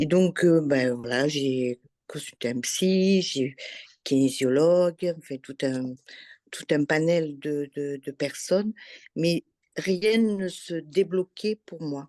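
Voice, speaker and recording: Very slowly, a woman speaks with a very deep, low voice and a dark, mellow tone, showing ordinary pitch variation and big swings in loudness. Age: 60s. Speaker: former workshop participant. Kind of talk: testimony.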